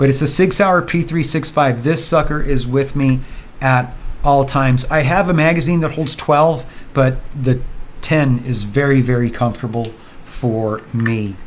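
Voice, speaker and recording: Audible room echo surrounds the voice. It moves at a moderate pace with ordinary pitch variation. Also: man, fairly high pitch for a man. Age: 60s. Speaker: vlogger. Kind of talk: casual vlog monologue. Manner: relaxed, conversational.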